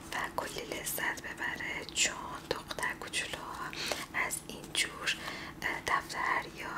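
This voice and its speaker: Over loud background noise, a soft-spoken woman talks at a very slow pace. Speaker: presenter. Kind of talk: soft product showcase talk, ASMR-like. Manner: soft, hushed ASMR shop talk. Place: home room.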